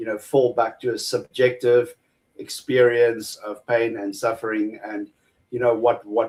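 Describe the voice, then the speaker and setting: Speaking in a monotone with flat intonation, a man with a medium-pitched voice shows big swings in loudness. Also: fairly slow pace. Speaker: atheist debater. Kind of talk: debate. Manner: halting, repeats words.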